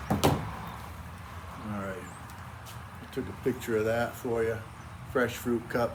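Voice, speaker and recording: A medium-pitched man with an American accent, very slow with long, frequent pauses, fairly even intonation, big swings in loudness, audible room echo and noticeable background noise. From New England (Cape Cod, Massachusetts). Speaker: backyard cooking YouTuber. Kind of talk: cooking tutorial. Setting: outdoors in backyard. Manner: casual, folksy.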